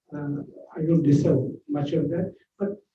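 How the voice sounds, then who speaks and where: With a Keralan accent, a man speaks in a dark, mellow tone that is somewhat breathy, his intonation fairly even. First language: Malayalam. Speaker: author. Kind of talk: speech. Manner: halting.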